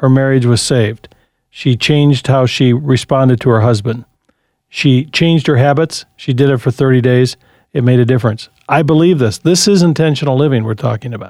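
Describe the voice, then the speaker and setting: Using an unremarkable speaking voice, a man delivers his words at a fairly quick pace. His voice sits at a medium pitch and rises and falls in an ordinary way. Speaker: radio host. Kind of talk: call-in radio show.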